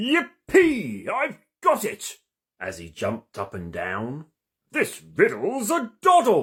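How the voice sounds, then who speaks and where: A man speaks very slowly in a put-on character voice with a pompous tone. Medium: read story. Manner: pompous, self-important.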